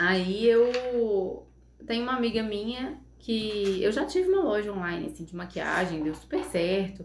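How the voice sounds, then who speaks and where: A woman at medium pitch speaks with ordinary pitch variation over noticeable background noise and audible room echo. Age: 30s. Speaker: psychologist and makeup artist. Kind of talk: casual interview chat.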